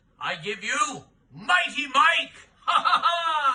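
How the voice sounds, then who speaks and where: A man puts on a character voice at an extremely high pitch. He talks at a very slow pace. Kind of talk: sideshow act introduction.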